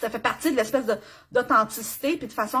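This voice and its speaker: An animated woman talks with a Quebec accent and ordinary pitch variation. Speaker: business coach. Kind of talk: live stream tutorial. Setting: live video stream.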